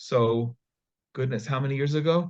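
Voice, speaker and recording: At a moderate pace, a man with an American accent talks in a somewhat breathy voice with ordinary pitch variation. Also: quiet background. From US, New York / New Jersey area. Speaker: nonprofit founder. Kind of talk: interview.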